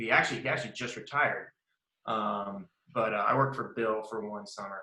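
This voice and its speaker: With a Southern US accent, a man talks at a moderate pace. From US South, Mississippi. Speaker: lawyer. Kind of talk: interview. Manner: casual, with frequent fillers.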